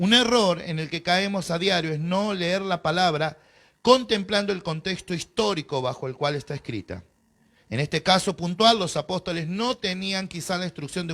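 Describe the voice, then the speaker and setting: A man speaks in a Rioplatense accent with an animated tone, a high pitch and ordinary pitch variation at a moderate pace. The recording is very clean, with a silent background. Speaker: pastor. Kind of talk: bible class lecture.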